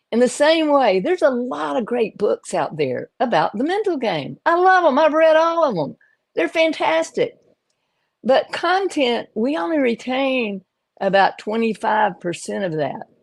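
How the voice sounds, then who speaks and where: Against a quiet background, a woman speaks at a fairly slow pace in a high pitch with very wide pitch swings. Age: 70s. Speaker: pickleball coach and live stream host. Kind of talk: casual live stream chat. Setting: live stream video call.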